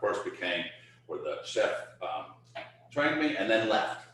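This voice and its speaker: A man talks over noticeable background noise, with audible echo from the room. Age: 60s. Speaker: chef. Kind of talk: casual chat.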